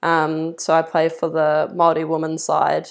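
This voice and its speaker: The recording is very clean with a silent background, carrying a woman's fairly low voice. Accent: New Zealand. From New Zealand, Levin. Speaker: football player. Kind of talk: casual chat.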